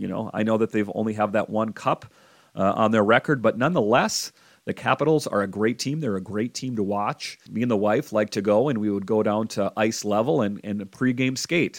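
Speaking in a normal speaking voice, a man talks at a fairly quick pace and a fairly low pitch. The sound is dry and close with no echo, on a very clean recording with a silent background. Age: 40s. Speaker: hockey podcast host. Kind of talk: solo sports podcast commentary. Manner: casual with frequent fillers.

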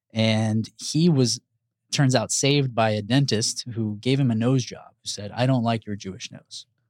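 Over a silent background on a very clean recording, a man with a medium pitch talks at a moderate pace, his loudness swinging widely. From Houston, Texas. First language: Spanish. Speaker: pediatrician. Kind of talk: casual interview chat. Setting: studio.

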